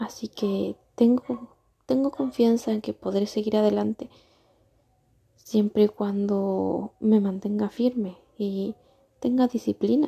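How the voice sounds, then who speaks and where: A soft-spoken woman talks at a very slow pace in a calm tone, her fairly high voice dark, mellow and somewhat breathy. Her pitch varies in an ordinary way, and the sound is dry and close with no echo. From Argentina. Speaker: vlogger. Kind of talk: unscripted personal monologue. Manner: soft, calm and relaxing.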